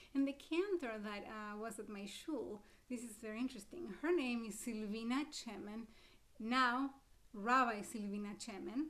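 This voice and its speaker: Recorded with noticeable background noise and audible room echo, a woman in an Argentine accent talks at a moderate pace with a fairly high pitch and ordinary pitch variation. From Argentina, Buenos Aires. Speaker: cantor and music presenter. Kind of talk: lecture. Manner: loud, projecting.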